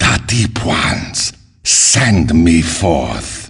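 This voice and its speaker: Growling in a very deep, low pitch, a man performs a put-on character voice. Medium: video game. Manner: terse, menacing.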